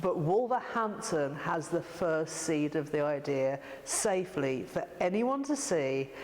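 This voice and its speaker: Over noticeable background noise, a woman with a fairly low pitch speaks at a fairly slow pace, her intonation lively and her loudness very even. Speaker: artist and arts organiser. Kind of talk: interview answer.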